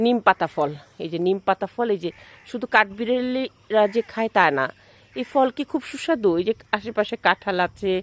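A woman with a fairly high pitch and lively intonation is heard in a dry, close sound with no echo. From Bangladesh, Jessore. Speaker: vlogger. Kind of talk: casual vlog narration. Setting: outdoors.

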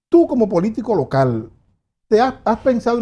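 The man's voice has a dark, mellow tone. He talks fairly quickly. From Dominican Republic. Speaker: political commentator. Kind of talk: interview. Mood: relaxed, engaged. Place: studio. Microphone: lapel.

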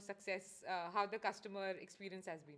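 This is a woman's voice. She speaks at a very fast pace. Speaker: podcast host. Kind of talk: casual interview; scripted intro.

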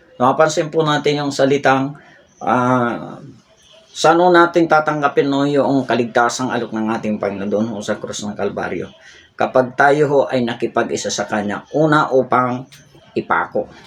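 A man's medium pitch with ordinary pitch variation at a moderate pace. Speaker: Bible teacher. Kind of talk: sermon. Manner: halting, with many fillers.

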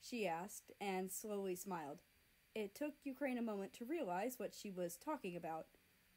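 Lively intonation runs through this plain read-aloud delivery.

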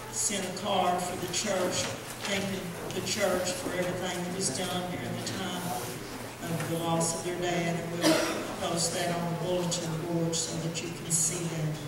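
Amid loud background noise and audible room echo, a woman speaks at a fairly slow pace. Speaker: preacher. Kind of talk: sermon. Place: church.

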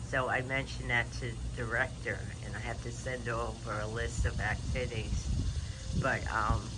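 Someone talks at a moderate pace over loud background noise. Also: man. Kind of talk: casual vlog chat. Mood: relaxed, reflective. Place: garden. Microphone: phone near.

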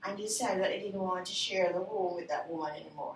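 A woman speaks with fairly even intonation. Audible room echo surrounds her voice.

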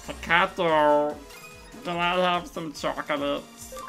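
A put-on character voice at a middle pitch moves at a fairly slow pace over clear music in the background. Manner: cute, innocent, dumb.

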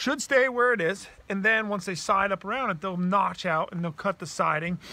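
Raising and projecting his voice, a man speaks at a moderate pace with ordinary pitch variation. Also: dry sound with no echo. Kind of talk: tutorial. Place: open country. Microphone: phone near.

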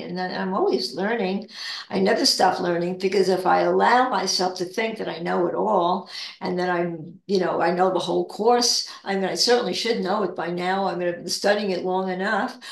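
Audible room echo surrounds a woman talking at a moderate pace with ordinary pitch variation. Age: 80s+. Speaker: spiritual discussion leader; guest. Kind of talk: casual spiritual chat. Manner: halting. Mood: calm, reflective. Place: home room. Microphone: video call.

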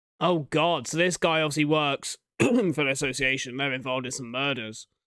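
A man at medium pitch and moderate pace, fairly bright in tone with ordinary pitch variation

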